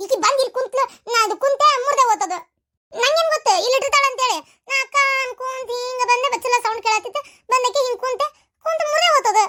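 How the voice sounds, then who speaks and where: A put-on character voice from a woman, pitched extremely high, at a moderate pace. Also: dry, close sound with no echo. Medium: comedy sketch. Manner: defensive, whiny.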